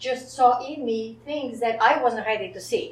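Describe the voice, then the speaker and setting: A woman with a non-native accent, high-pitched, at a moderate pace, with ordinary pitch variation and audible room echo. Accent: foreign. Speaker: psychologist, wellness center director. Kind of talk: panel interview.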